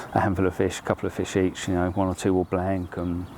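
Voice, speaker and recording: Against noticeable background noise, a man with a very deep, low pitch talks at a fairly quick pace in a monotone, flat intonation. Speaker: angler vlogger. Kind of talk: casual vlog narration. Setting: outdoors.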